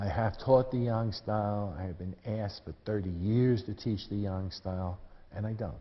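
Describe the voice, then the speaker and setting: A man speaks at a moderate pace in a fairly low voice, with audible room echo. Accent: American. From US Northeast, New York City. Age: 70s. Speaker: tai chi teacher. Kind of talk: lecture. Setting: stage with audience. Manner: casual.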